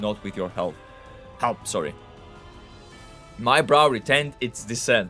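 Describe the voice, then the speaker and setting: Music plays in the background. A man speaks at a medium pitch in a Greek accent. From Greece. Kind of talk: short story reading.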